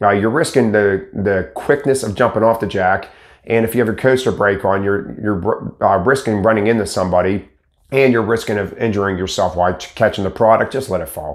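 Against a quiet background, a man with a fairly low pitch talks at a fairly quick pace, with ordinary pitch variation. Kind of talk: casual explanatory talk to camera. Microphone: lapel.

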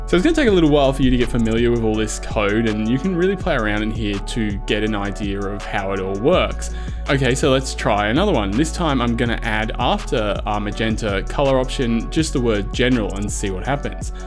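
Over clear music in the background, a man talks at a fairly quick pace with hardly any pauses. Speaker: spreadsheet tutorial host. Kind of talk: tutorial. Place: home room.

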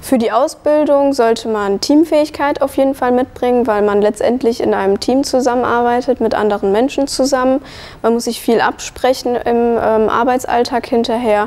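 Her loudness stays very even. The woman's high-pitched voice has ordinary pitch variation. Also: moderate pace. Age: 20s. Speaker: early childhood educator; trained childcare educator. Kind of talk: testimony. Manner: hesitant, many fillers. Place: hall. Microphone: lapel.

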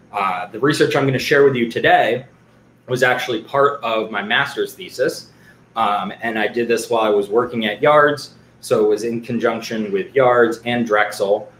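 A man at a moderate pace, fairly even intonation, light background noise and audible room echo. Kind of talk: lecture. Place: home room. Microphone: webcam.

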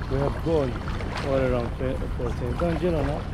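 Fairly slow pace, dry sound with no echo and loud background noise. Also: man. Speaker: kayak tour vlogger. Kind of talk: casual vlog commentary. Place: boat. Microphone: camera far.

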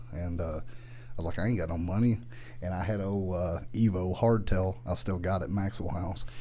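In a Southern US accent, a man speaks with a very deep, low pitch and a dark, mellow tone. His pace is moderate and his pitch varies in an ordinary way, with light background noise behind him. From US South. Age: 40s. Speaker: motorcycle YouTuber. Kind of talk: casual chat. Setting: studio. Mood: relaxed storytelling. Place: studio. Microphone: studio mic.

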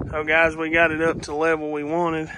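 A man talks at a moderate pace while background noise stays noticeable throughout. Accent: Appalachian. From Kentucky Appalachia, US. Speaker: DIY builder and YouTuber. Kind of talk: casual how-to video narration. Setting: outdoors at job site. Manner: casual, folksy. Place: garden. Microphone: phone near.

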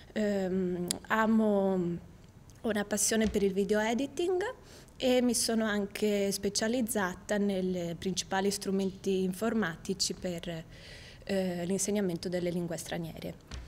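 At a fairly slow pace with long, frequent pauses, the speech keeps fairly even intonation over light background noise. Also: woman, medium pitch for a woman. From Italy, Venice; Italy. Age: 20s. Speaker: university student. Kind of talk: video CV self-presentation. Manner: slightly halting, with fillers. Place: studio.

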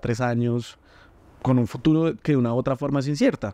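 This man talks at a fairly quick pace in a medium pitch, his dark, mellow tone captured with a dry, close sound and no echo, his intonation fairly even. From Colombia, Bogotá. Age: 30s. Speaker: entrepreneur and food content creator. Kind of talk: interview conversation.

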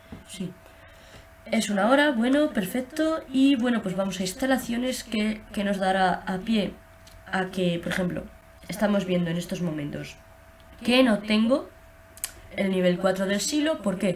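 Long, frequent pauses break up a woman's fairly slow speech at medium pitch. Her intonation is lively, and there is light background noise. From Spain. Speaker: gaming youtuber. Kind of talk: gameplay commentary. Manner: halting. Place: home room. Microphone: webcam.

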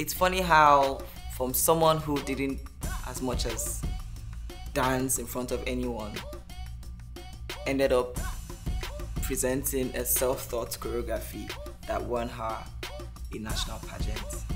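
With clear music in the background, a woman talks at a fairly slow pace, leaving long, frequent pauses. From Nigeria. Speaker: nurse, pilot, content creator. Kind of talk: personal story podcast. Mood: warm, reflective storytelling. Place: home room.

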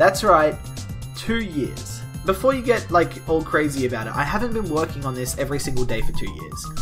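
A man speaks at a fairly quick pace while clear music plays in the background. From Australia. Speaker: vlogger. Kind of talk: casual talk to camera. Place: home room. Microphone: webcam.

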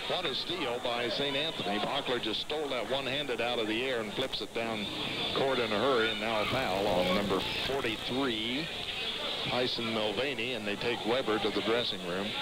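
The sound is dry with no echo, and loud background noise runs underneath. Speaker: play-by-play announcer. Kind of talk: live high school basketball play-by-play, rapid call of each pass and shot. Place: hall.

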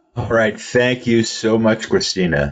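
A man speaks fairly slowly with vocal fry. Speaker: webinar host. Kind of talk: webinar host introductions and Q&A. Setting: webinar.

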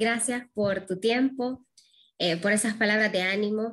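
A woman speaks at a fairly slow pace in a fairly high pitch. Her intonation is monotone and flat, and the background is quiet. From Honduras. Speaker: interviewer. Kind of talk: interview. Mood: warm, grateful. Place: home room. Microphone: webcam.

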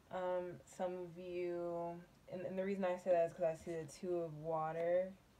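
A woman speaks at a moderate pace in a fairly low pitch, her dark, mellow tone showing little pitch movement.

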